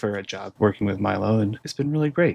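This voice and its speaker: A plain, everyday voice from a man, fairly low in pitch, at a fairly quick pace. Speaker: animator. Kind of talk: casual Q&A monologue.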